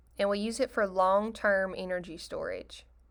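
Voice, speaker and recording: With a normal speaking voice, a woman speaks at a moderate pace and a fairly high pitch on a very clean recording with a silent background. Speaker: biology teacher. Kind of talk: recorded lecture.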